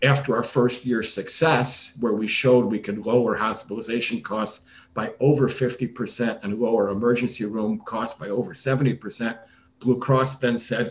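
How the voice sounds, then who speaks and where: A man's somewhat breathy voice with fairly even intonation. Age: 60s. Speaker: retired gastroenterologist, startup medical officer. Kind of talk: interview.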